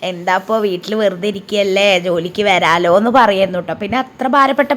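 Using a normal speaking voice, a woman talks at medium pitch with ordinary pitch variation. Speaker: vlogger. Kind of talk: casual vlog narration. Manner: chatty, conversational.

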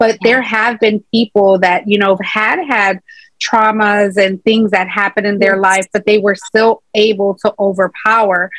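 A woman with an American accent speaks at a moderate pace in a monotone, flat intonation with very even loudness, the sound dry with no echo and the background quiet. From Chicago, US Midwest. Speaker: entrepreneur, author and motivational speaker; motivational speaker. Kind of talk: interview; interview answer. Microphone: video call.

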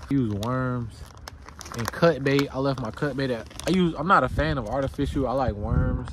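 A man at a moderate pace, recorded dry with no echo, amid noticeable background noise. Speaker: fishing vlogger. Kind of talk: casual vlog chat. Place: waterside. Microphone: phone near.

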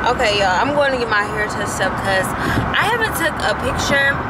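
Loud background noise surrounds a woman speaking. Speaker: vlogger. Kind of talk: casual vlog chat. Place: car. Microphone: phone near.

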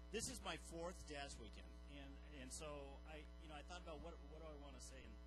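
A man talks fairly quickly with music playing behind him. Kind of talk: personal story and thanks to a congregation. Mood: joking, then heartfelt. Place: church. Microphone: handheld.

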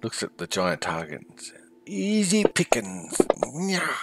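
The man puts on a character voice pitched in the medium range. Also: fairly slow pace. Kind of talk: comic monster voice. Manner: taunting, sneering.

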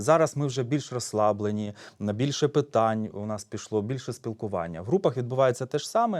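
Moving at a fairly quick pace, an unremarkable speaking voice shows ordinary pitch variation. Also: man, medium pitch for a man, very clean recording, silent background. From eastern Ukraine, Donetsk region (Horlivka). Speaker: psychologist. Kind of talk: public talk. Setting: stage with audience.

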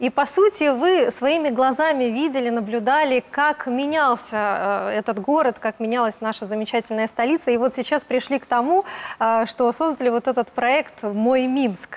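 A woman speaks at a high pitch and moderate pace. Her loudness stays very even, with ordinary pitch variation. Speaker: TV morning show host. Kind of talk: morning TV show chat. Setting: studio. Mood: warm, friendly. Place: studio.

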